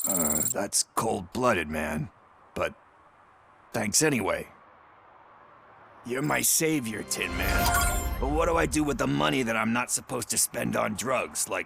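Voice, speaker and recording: In a raspy, put-on character voice of medium pitch, a man speaks at a moderate pace with clear music in the background. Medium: machinima. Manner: sarcastic, casual, profane.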